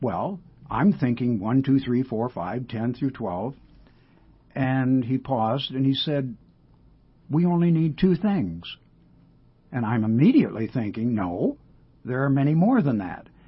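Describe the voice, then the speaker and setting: Somewhat breathy, a man speaks at medium pitch with lively intonation and a fairly slow pace. Long, frequent pauses break up his speech. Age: 80s+. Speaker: retired counselor. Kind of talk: radio interview. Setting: studio.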